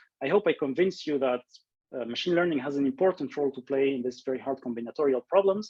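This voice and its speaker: A fairly high-pitched male voice with ordinary pitch variation. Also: dry, close sound with no echo. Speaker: research scientist giving invited talk. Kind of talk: lecture. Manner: fast; halting, many fillers and repeats.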